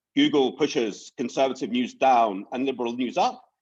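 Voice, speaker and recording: A man talks with very wide swings in pitch. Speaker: panel speaker. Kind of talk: panel discussion. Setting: conference panel. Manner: fast.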